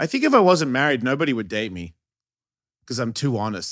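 An animated, very fast delivery with lively intonation, on a very clean recording with a silent background. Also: man. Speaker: podcast host, skateboarder. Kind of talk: casual chat.

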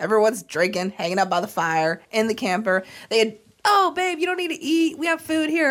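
On a very clean recording with a silent background, a woman with an American accent talks at a fairly quick pace, her fairly high pitch swinging very widely. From Florida. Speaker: podcast co-host, angler. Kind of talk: casual chat.

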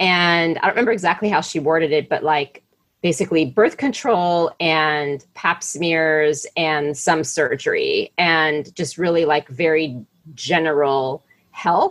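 In an ordinary speaking voice, a woman talks at a fairly slow pace with a fairly low pitch. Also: ordinary pitch variation. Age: 40s. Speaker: podcast host. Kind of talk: interview.

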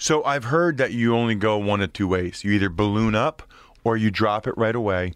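Against a quiet background, a man speaks in an ordinary speaking voice, fairly low in pitch, with ordinary pitch variation and very even loudness. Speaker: former NFL offensive lineman and podcaster. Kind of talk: casual interview chat.

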